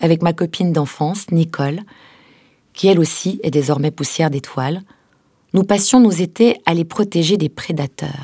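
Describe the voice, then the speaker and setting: A woman with a fairly low pitch speaks at a moderate pace with ordinary pitch variation, recorded very cleanly against a silent background. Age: 40s. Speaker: letter writer reading her own letter. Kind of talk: reading aloud.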